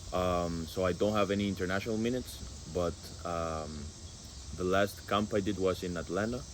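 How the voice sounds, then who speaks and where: A man with a Spanish accent speaks at a fairly quick pace in a very deep, low pitch, with ordinary pitch variation and long, frequent pauses. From Guatemala. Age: 20s. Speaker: college football goalkeeper. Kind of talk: casual interview. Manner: halting with many fillers.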